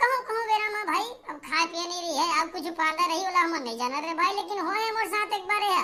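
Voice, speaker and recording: An extremely high, squeaky cartoonish character voice moves along at a fairly quick pace. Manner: chatty, folksy, teasing.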